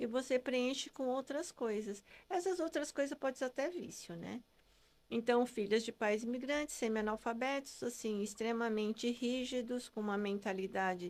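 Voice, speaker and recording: Her voice sits high for a woman, with ordinary pitch variation. The recording is very clean, with a silent background. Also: moderate pace. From Brazil, Japanese-descendant family. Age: 60s. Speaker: integrative therapist. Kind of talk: podcast interview.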